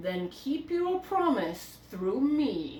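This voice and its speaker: A woman's put-on character voice, high-pitched with very wide pitch swings, over light background noise and a slight echo. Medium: read story. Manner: calm, grave, authoritative.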